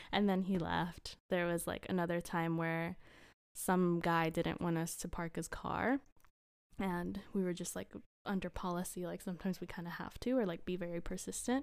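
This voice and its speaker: In a very clean recording with a silent background, a woman with an unremarkable speaking voice talks at a moderate pace, her pitch fairly low and her intonation fairly even. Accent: American. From Costa Rica and Houston, Texas. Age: 20s. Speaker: design student. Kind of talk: casual chat.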